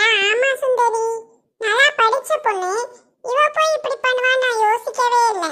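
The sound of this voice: A woman uses a cartoonish character voice, extremely high in pitch, with ordinary pitch variation at a fairly slow pace.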